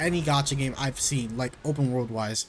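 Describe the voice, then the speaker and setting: A man talks at a fairly high pitch while music plays in the background. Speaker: gaming content creator. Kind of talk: casual commentary video. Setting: home recording in own room. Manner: stutters; filler-heavy, rambling delivery.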